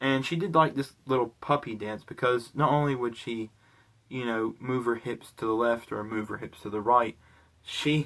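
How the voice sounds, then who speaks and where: A man speaks at a moderate pace with a slight British accent, his medium-pitched voice carrying fairly even intonation. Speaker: vlogger. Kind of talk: casual storytelling vlog. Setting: recording at home in bedroom. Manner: casual, many fillers like 'like' and 'you know'.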